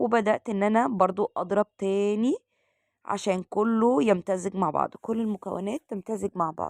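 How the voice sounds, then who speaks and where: A woman with an Egyptian accent speaks at a fairly slow pace in a medium pitch, with ordinary pitch variation. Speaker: cooking channel host. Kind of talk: cooking tutorial. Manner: halting with fillers.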